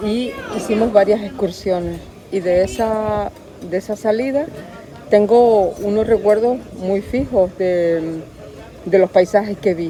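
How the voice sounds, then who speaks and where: Against noticeable background noise, a woman at a medium pitch speaks at a fairly slow pace with fairly even intonation and long, frequent pauses. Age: 60s. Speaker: archaeologist. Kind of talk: interview testimony. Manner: halting.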